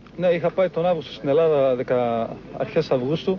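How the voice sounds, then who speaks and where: Pitch varies in an ordinary way over noticeable background noise. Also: man. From Greece, Evros (Thrace). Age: 20s. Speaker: volunteer fighter. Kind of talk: field interview.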